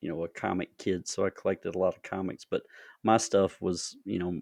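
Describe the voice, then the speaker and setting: A man with a Southern US accent and a very deep, low pitch talks at a fairly quick pace, in a dry, close sound with no echo and a quiet background. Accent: Southern twang. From US South, North Augusta, South Carolina. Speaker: podcast host and horror author. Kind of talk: interview. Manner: halting, many fillers.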